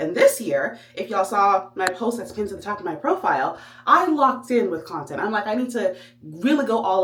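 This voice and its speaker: Over noticeable background noise, a woman speaks at a fairly quick pace with a medium pitch that swings very widely. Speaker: vlogger. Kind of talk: vlog monologue. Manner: fast; animated.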